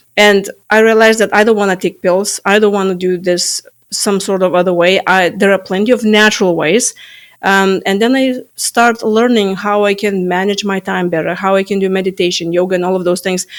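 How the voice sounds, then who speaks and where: Someone with a Lithuanian accent talks at a fairly quick pace with fairly even intonation. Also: woman, medium pitch for a woman. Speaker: stress management coach. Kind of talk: interview. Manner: halting.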